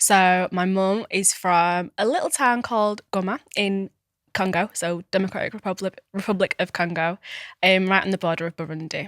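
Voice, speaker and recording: At a moderate pace, a woman with a Manchester accent speaks at a medium pitch with fairly even intonation. The recording is very clean with a silent background, dry and close with no echo. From Manchester, Tameside. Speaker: lifestyle coach. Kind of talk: casual interview chat.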